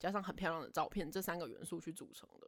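Very fast speech from a woman at a medium pitch, in a Taiwanese accent. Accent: Taiwanese Mandarin. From Taiwan, Taipei. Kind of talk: casual chat.

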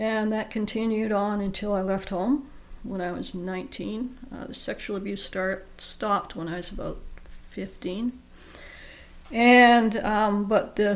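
At a fairly slow pace, a woman talks with fairly even intonation in audible room echo. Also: big swings in loudness. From Vancouver Island, Canada. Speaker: abuse survivor and blogger. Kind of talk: interview testimony. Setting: studio.

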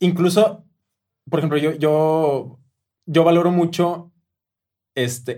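A man's fairly high-pitched voice carries fairly even intonation. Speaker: musical director. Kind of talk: casual chat. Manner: halting, many repeated words.

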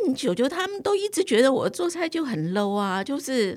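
A woman's high voice makes very wide pitch swings at a moderate pace. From Taiwan. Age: 60s. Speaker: cooking teacher. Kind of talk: interview.

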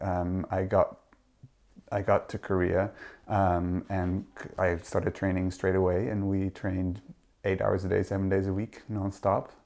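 Against a quiet background, a man talks at a fairly low pitch with a Dutch accent. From Netherlands. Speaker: literary translator. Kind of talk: interview conversation. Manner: halting.

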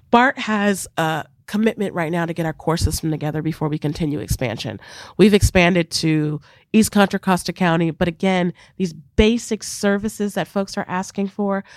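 On a very clean recording with a silent background and a dry, close sound with no echo, a woman with a plain, everyday voice speaks at a moderate pace and medium pitch with ordinary pitch variation. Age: 40s. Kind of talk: interview. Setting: studio.

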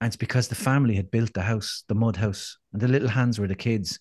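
At a fairly quick pace, a man with an Irish accent talks at a medium pitch with fairly even intonation, the sound dry and close with no echo and the background quiet. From Ireland. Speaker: motivational speaker and endurance fundraiser. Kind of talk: casual interview chat.

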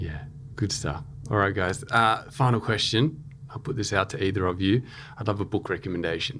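Here is a man with an ordinary speaking voice and fairly low pitch. He talks at a fairly quick pace with lively intonation. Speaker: podcast host. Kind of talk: interview conversation. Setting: studio.

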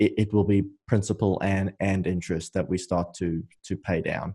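On a very clean recording with a silent background, a man speaks in a fairly low pitch with a dark, mellow tone and monotone, flat intonation. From South Africa. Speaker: real estate investor. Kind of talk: interview. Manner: hesitant, many fillers.

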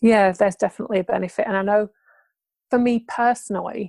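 The voice comes through with a British accent in a dry, close sound with no echo. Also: woman. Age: 40s. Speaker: podcast host living with MS. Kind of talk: interview.

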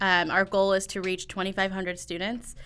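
Speaking at a fairly quick pace, a woman with a Midwestern American accent has a bright, sharp tone at a medium pitch. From Northwest Indiana. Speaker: education program coordinator. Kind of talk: interview.

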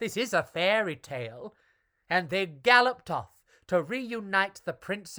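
Someone reads aloud in a natural voice over a quiet background.

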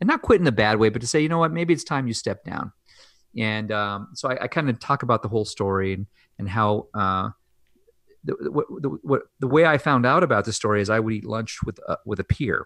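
In a normal speaking voice, a man of medium pitch talks at a fairly quick pace with lively intonation against a quiet background. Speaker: anesthesiologist. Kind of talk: casual interview.

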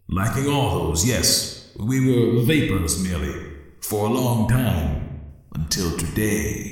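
Amid strong echo, a man does a put-on character voice, fairly low-pitched and at a fairly slow pace. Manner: cruel, mocking.

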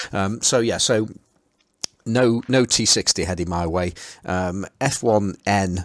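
In a Potteries accent, a man talks very slowly with a fairly low pitch. His pitch varies in an ordinary way, and he makes long pauses often. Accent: Potteries (Stoke-on-Trent) English. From Stoke-on-Trent, England. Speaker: podcast host. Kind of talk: casual chat.

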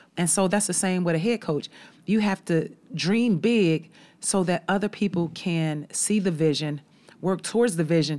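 A normal speaking voice from a woman, medium in pitch, with ordinary pitch variation and a moderate pace, in a very clean recording with a silent background. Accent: American. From Chicago. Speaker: college basketball head coach. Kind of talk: casual interview chat. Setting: studio.

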